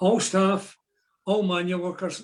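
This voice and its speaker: A man with a Glaswegian accent talks at a moderate pace and a high pitch. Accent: Glaswegian Scottish. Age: 80s+. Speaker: retired shipyard draftsman and trade unionist. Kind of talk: historical talk at online meeting.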